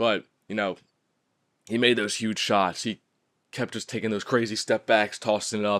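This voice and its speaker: On a very clean recording with a silent background and a dry, close sound with no echo, a man with an American accent speaks at a moderate pace in a fairly low, monotone, flat voice with long, frequent pauses. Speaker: sports podcast host. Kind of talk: solo sports podcast commentary. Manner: casual, filler words.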